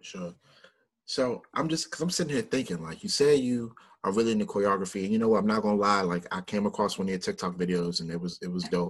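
A man with a fairly low pitch and a Mid-Atlantic American accent, lively intonation and a very fast pace. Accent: Mid-Atlantic urban American. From Washington, DC. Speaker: podcast host. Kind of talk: interview.

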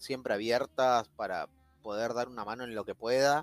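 In an unremarkable speaking voice, a man speaks at a medium pitch and moderate pace with fairly even intonation, the sound dry and close with no echo. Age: 30s. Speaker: frontend web developer. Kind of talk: casual interview on a livestream.

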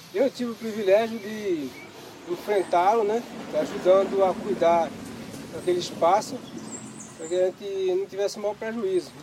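A high-pitched male voice at a moderate pace, fairly even in intonation, with long, frequent pauses and noticeable background noise. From Pernambuco, northeastern Brazil. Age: 50s. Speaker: fisherman and museum founder. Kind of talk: interview testimony.

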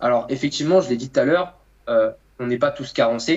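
This man has a normal speaking voice. His pitch is fairly high, with ordinary pitch variation. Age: 20s. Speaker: nutritionist and coach. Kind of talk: casual chat.

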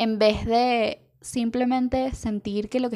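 A woman's dark, mellow tone in monotone, flat intonation, on a very clean recording with a silent background. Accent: Venezuelan. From Venezuela. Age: 20s. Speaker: illustrator. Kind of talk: monologue. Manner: halting.

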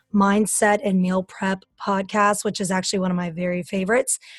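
A woman talks in a normal speaking voice at medium pitch. Her pace is fairly quick and her intonation fairly even. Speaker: podcast host and fitness coach. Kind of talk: casual interview.

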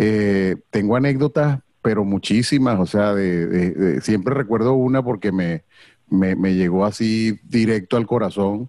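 A man with a Venezuelan accent speaks at a fairly low pitch in a dark, mellow tone, with ordinary pitch variation. His loudness stays very even, and the sound is dry and close with no echo. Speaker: comedy event host. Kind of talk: casual chat.

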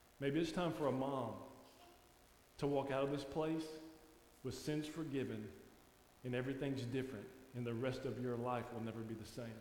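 Pausing long and often, a man with a Louisiana accent and a warm tone is heard over noticeable background noise and audible room echo. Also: medium pitch for a man, fairly even intonation. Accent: Southern US (Louisiana) drawl. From Louisiana, US South. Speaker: guest preacher. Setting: church sanctuary with congregation. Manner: warm, conversational folksy delivery with laughs.

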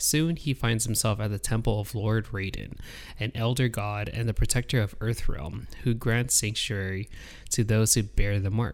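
Here is a man with an unremarkable speaking voice and a fairly low pitch. He talks at a moderate pace with ordinary pitch variation. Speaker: podcast host. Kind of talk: casual chat. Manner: jokey, laughs a lot.

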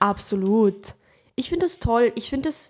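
Here a woman is speaking. Her pitch sits fairly high. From Lower Austria. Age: 20s. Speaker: actress, podcast co-host. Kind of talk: casual chat.

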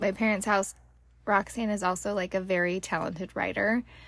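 A woman speaks in a normal speaking voice at medium pitch and a moderate pace. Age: 30s. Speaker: podcast host and hairstylist. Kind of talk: casual chat. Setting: recorded in a closet at home.

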